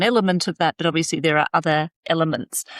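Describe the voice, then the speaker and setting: A woman's fairly low voice with an Australian accent, ordinary pitch variation, and a dry, close sound with no echo on a very clean recording against a silent background. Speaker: occupational psychologist, company founder. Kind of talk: interview.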